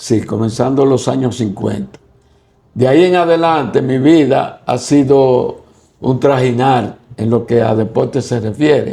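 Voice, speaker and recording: At a fairly slow pace, a man with a dark, mellow tone speaks at medium pitch with ordinary pitch variation. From Dominican Republic, Santiago (La Joya). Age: 80s+. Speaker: cycling coach. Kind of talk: interview.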